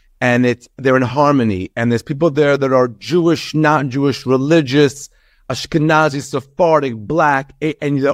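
Speaking at a moderate pace in a New York accent, the voice has a dry, close sound with no echo over a quiet background. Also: man. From Long Island, New York (from age seven; born in Israel). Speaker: comedian. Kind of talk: interview. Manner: animated.

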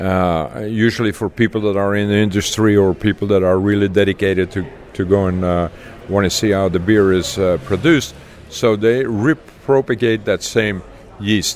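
Fairly low-pitched male speech at a moderate pace, ordinary pitch variation, and noticeable background noise. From Belgium, Leuven. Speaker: beer brand ambassador. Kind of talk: interview. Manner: halting, many fillers.

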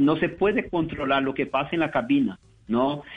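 The speaker has a Portuguese accent, and the pitch moves up and down in an ordinary way. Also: man. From Brazil, São Paulo. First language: Portuguese (speaking Spanish). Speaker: business manager. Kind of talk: interview.

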